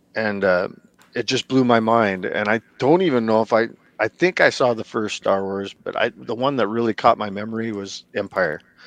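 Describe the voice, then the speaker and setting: The speaker has an American accent and ordinary pitch variation at a moderate pace. The sound is dry and close, with no echo. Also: man, medium pitch for a man. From small-town US. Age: 40s. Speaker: custom toy artist. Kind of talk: casual interview chat. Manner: halting.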